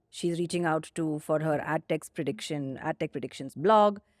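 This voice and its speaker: In an Indian accent, the speaker goes at a moderate pace, the sound dry and close with no echo on a very clean recording with a silent background. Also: woman. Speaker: company founder and CEO, podcast co-host. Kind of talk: casual podcast conversation. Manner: enunciates carefully.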